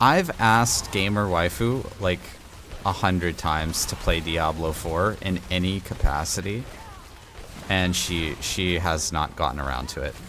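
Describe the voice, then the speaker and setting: A quiet man with a very deep, low pitch and ordinary pitch variation talks at a fairly slow pace over noticeable background noise. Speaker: video game streamer. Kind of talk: casual chat. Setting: home studio. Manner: quieter, closer to mic.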